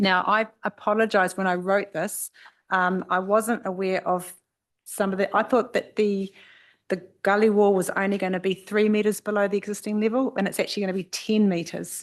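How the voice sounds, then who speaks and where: A woman speaks in a New Zealand accent with monotone, flat intonation. The background is quiet. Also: medium pitch for a woman. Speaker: expert witness on air quality. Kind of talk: formal hearing testimony. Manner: fast.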